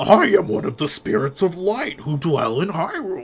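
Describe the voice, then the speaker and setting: A man in a put-on character voice, high in pitch, at a moderate pace. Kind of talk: put-on animal voice. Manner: exaggerated, silly.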